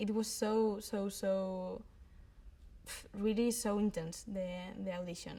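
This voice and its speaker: Speaking at a fairly slow pace, a woman with a Spanish accent uses a fairly high pitch. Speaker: actress. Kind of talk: interview. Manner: halting.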